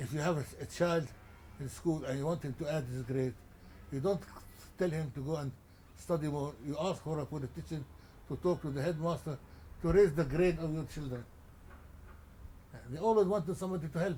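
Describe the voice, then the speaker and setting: A man with a Lebanese accent speaks at a fairly quick pace, his tone dark and mellow and somewhat breathy. His pitch varies in an ordinary way, and he leaves long, frequent pauses. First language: Arabic. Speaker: journalist and publisher. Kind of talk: interview. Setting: at his home. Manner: halting, many repetitions.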